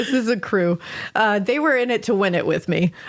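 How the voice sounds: The speaker uses a natural reading voice. The words come across as read aloud.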